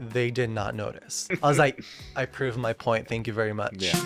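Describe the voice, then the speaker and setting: With music in the background, a man's voice sits at a medium pitch. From raised in Japan. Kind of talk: podcast interview answer.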